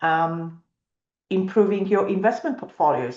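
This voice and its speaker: A woman with a non-native accent speaks against a quiet background. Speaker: financial planner. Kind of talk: webinar presentation. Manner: hesitant, many fillers.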